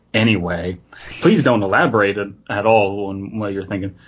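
A man talks in a somewhat breathy voice. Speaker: podcast host. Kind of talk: casual comedic chat. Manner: jokey, laughs often.

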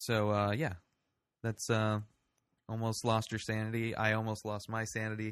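Against a quiet background, a man talks at a medium pitch. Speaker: podcast host. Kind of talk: casual chat.

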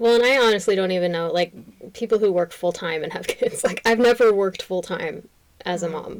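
Using a normal speaking voice, a woman of medium pitch talks at a fairly quick pace. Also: ordinary pitch variation. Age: 30s. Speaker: podcast co-host and nurse. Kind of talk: casual chat.

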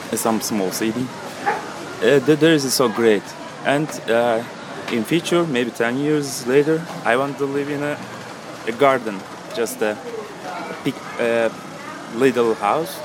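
At a fairly slow pace, a man with a medium pitch speaks with ordinary pitch variation and long, frequent pauses amid noticeable background noise. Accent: Turkish. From Turkey, Istanbul. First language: Turkish. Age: 20s. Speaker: cafe server. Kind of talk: casual interview. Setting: outdoors at a busy cafe. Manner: halting.

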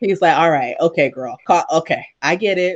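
A woman with an unremarkable speaking voice talks at a fairly slow pace, her pitch fairly low and her pitch variation ordinary, against a quiet background. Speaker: podcast host. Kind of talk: casual interview chat. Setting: video call.

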